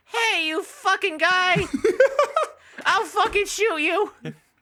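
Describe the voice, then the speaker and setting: At a very slow pace, the speaker uses a put-on character voice with an extremely high pitch. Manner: threatening, aggressive.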